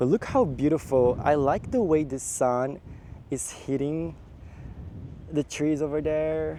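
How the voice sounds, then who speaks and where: A man speaks slowly-ish with a Japanese accent, his fairly high pitch carrying a dark, mellow tone. His intonation stays fairly even throughout. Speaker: travel vlogger. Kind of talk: casual vlog narration. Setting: outdoors.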